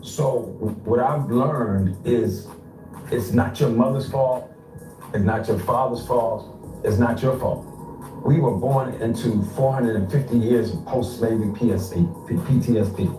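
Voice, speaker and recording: Music plays in the background as a man of medium pitch talks at a moderate pace with ordinary pitch variation and long, frequent pauses, in audible room echo. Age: 60s. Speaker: panel participant. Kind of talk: heated debate. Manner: animated.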